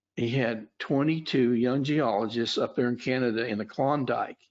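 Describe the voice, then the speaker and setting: A man with an Oklahoma accent, medium in pitch, speaking at a fairly slow pace with fairly even intonation. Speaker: futures trader and trading educator. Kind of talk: webinar presentation. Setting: webinar. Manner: halting, many fillers.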